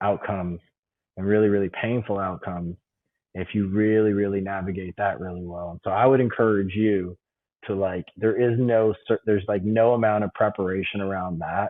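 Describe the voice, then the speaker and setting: The speech moves at a moderate pace with a flat, monotone intonation. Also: man. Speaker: CEO and bitcoin advocate. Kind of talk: casual chat.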